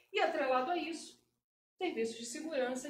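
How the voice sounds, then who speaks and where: A woman speaks with a Carioca accent. Room echo is audible. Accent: Carioca accent, noticeable. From Rio de Janeiro, Brazil. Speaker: cybersecurity professional, speaker. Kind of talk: presentation talk. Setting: meetup with live audience.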